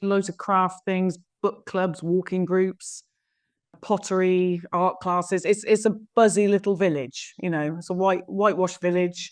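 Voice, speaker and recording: Over a quiet background, a woman talks at a medium pitch. She keeps a moderate pace with a slight Somerset accent. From south-west England, Somerset. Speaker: estate agent. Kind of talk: interview. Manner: hesitant, many fillers.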